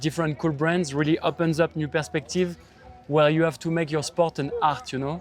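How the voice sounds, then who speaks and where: A man with a fairly high pitch, with music in the background. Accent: French. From France, Paris. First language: French. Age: 30s. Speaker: pro BMX rider. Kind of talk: interview.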